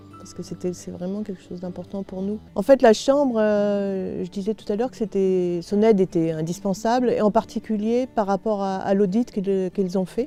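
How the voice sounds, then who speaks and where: Music plays in the background as a woman talks at a medium pitch, her intonation fairly even. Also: moderate pace, hardly any pauses, big swings in loudness. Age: 60s. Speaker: retiring farmer. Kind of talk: interview testimony. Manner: halting, many hesitations.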